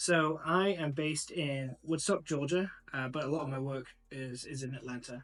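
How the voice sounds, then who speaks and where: A man speaks with a slight English accent and a fairly high pitch. The pace is moderate, and the intonation stays fairly even. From northern England, Macclesfield. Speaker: sommelier and wine importer. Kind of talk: casual interview chat.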